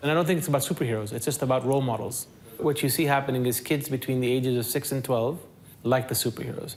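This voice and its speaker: A man talks at a very fast pace with a medium pitch and fairly even intonation. Noticeable background noise runs underneath. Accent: American. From Kuwait. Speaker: psychologist and comic creator. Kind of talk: documentary interview.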